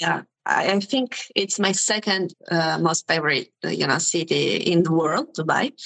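A woman's fairly low voice with an Italian accent, at a fairly slow pace with hardly any pauses, very even loudness, ordinary pitch variation, and a dry, close sound with no echo. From Sicily, southern Italy. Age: 20s. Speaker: youtuber, language learner. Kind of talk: casual interview. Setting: video call.

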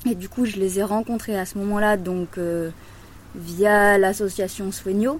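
Fairly slow and fairly even, a woman with an unremarkable speaking voice talks at a medium pitch. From Loire, France. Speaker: farmer. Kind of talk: interview.

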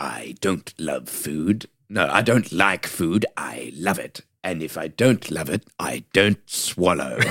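Using a put-on character voice with a very deep, low pitch, a man talks at a fairly slow pace with hardly any pauses. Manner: creepy.

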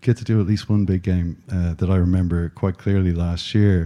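Speaking fairly quickly with an Irish accent, a man has a dark, mellow tone. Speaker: podcast host. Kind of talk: live interview on stage. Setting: stage with audience.

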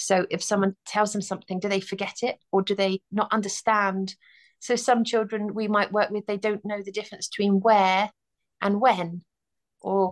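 Against a quiet background, a woman at medium pitch speaks at a moderate pace in a monotone, flat delivery, the sound dry and close with no echo. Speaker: speech therapist. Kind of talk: interview.

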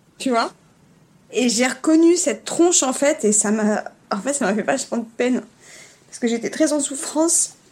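A woman's high-pitched, lively voice at a moderate pace, broken by long, frequent pauses. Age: 40s. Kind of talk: casual interview. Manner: hesitant, with laughs.

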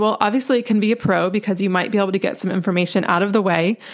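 A woman with an American accent speaks at a medium pitch, with fairly even intonation. It is an ordinary speaking voice. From US South, North Carolina. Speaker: dating coach and podcast host. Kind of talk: solo podcast monologue.

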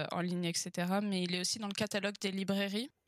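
The voice is monotone, with flat intonation, in a dry, close sound with no echo. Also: woman. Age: 20s. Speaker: author and engineer. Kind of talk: interview conversation.

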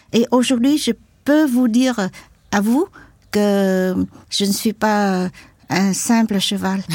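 A woman's medium-pitched voice at a very slow pace, with long, frequent pauses, ordinary pitch variation and a dry, close sound with no echo. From Vietnam, Mekong delta and Saigon. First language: Vietnamese (learned French early) (speaking French). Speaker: activist, former journalist and war veteran. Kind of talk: testimony. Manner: halting.

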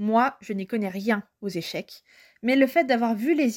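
Recorded very cleanly against a silent background, a woman with a plain, everyday voice speaks at a moderate pace, her fairly high pitch showing ordinary variation in a dry, close sound with no echo. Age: 20s. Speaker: book and culture blogger. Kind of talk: recorded review monologue.

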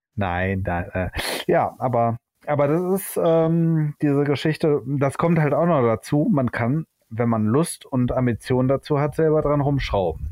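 A man's fairly high voice at a fairly slow pace, with lively intonation and very even loudness. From Germany, Hamburg / Düsseldorf area. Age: 40s. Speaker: photographer, trained master painter. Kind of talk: casual chat. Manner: halting, many filler sounds.

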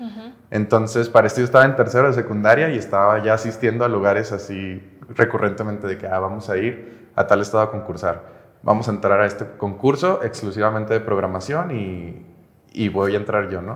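This man talks at a fairly quick pace, his fairly low pitch showing ordinary variation. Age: 20s. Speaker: software engineer and agency founder. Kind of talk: interview. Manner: casual, hesitant with fillers.

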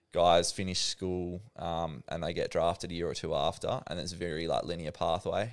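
A man speaks with an Australian accent, with hardly any pauses. The recording is very clean, and the background silent. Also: moderate pace. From Western Australia, Perth. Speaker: professional cricketer. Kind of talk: casual interview.

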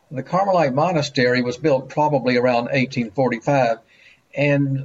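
With a Mississippi accent, a man speaks fairly slowly, his voice somewhat breathy and his intonation lively. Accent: US Southern (Mississippi). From Jackson, Mississippi. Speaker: local history author. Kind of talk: virtual panel discussion.

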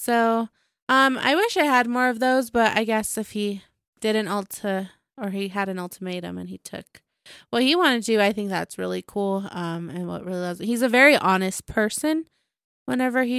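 At a moderate pace, a woman speaks at a fairly high pitch with ordinary pitch variation, in a very clean recording with a silent background and a dry, close sound with no echo. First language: Spanish. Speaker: podcast co-host. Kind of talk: casual chat.

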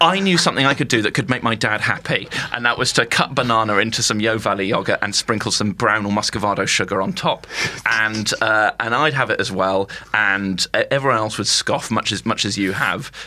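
A man with an RP accent speaks at medium pitch and a fairly quick pace. His pitch varies in an ordinary way over noticeable background noise. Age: 20s. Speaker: comedian. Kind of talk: casual chat. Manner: halting.

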